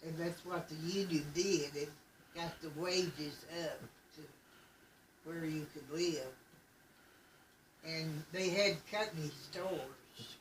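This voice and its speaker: Amid noticeable background noise, a woman with a fairly low voice talks very slowly, with fairly even intonation and long, frequent pauses. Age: 80s+. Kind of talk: family oral history interview.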